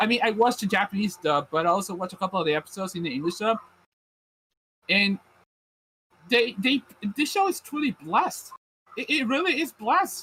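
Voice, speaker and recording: In a dry, close recording with no echo, a man with a Puerto Rican accent projects a raised, high-pitched voice with a bright, sharp tone. His pitch swings very widely, broken by long, frequent pauses. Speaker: anime podcast host. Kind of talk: casual chat. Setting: live stream. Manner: halting, many fillers.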